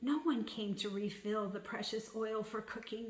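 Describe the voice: This plain reading aloud holds a fairly even intonation.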